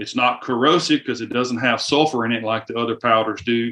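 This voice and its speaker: With a Southern US accent, a man speaks at a fairly quick pace in a medium pitch. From US South. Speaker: firearms company representative. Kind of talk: casual interview.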